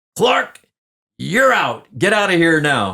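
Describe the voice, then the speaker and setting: Putting on a character voice, a man speaks fairly slowly at a high pitch with very wide pitch swings. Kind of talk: gruff. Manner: angry, commanding.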